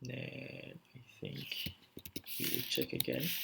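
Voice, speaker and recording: The speaker is soft-spoken. Noticeable background noise sits behind the voice. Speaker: coding tutorial creator. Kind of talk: coding tutorial. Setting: at home at night. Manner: hesitant, many fillers.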